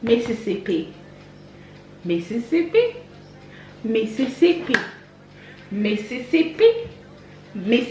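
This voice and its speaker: Amid noticeable background noise, a woman with a fairly high voice and lively intonation talks at a fairly slow pace with long, frequent pauses. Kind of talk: casual talk to camera.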